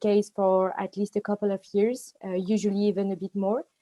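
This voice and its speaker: Speaking at a moderate pace in a French accent, a woman has a medium pitch, a dark, mellow tone and monotone, flat intonation, with a dry, close sound and no echo. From France. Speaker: management consultant. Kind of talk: panel introduction on video call. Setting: live online session.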